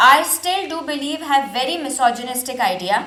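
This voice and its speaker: Her voice sits high in pitch, and audible room echo surrounds the woman as she talks. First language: not English. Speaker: reaction video creator. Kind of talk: reaction commentary.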